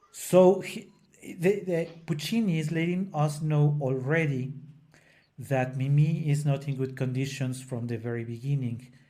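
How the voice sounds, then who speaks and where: With a non-native accent, a man speaks fairly slowly in a dark, mellow, fairly high voice, his pitch varying in an ordinary way amid audible room echo. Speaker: opera singer and podcast co-host. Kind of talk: casual educational discussion. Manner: halting, with frequent self-corrections.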